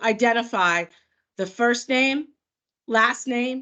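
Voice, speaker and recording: Lively intonation marks this woman's speech, delivered with an American accent. She goes at a fairly slow pace over a quiet background. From New York. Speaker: product manager. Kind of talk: webinar presentation. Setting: video call. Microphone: video call.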